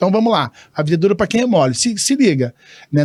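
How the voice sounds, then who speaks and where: Talking at a very fast pace, a man with a high pitch sounds animated on a very clean recording with a silent background. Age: 60s. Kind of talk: casual interview chat.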